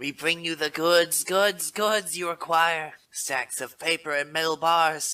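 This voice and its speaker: A man uses a put-on character voice at a high pitch. He speaks at a fairly slow pace with hardly any pauses. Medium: fan dub. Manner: stuttering, repeats words.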